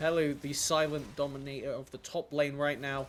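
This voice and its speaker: This man's voice sits fairly high, with a monotone, flat intonation at a moderate pace. Noticeable background noise runs underneath. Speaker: esports caster. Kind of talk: live commentary.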